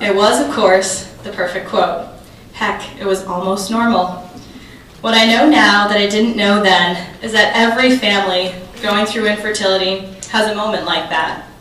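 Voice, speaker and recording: A woman talks at a moderate pace with fairly even intonation, amid audible room echo and light background noise. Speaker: keynote speaker, journalist. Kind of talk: prepared keynote speech. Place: hall.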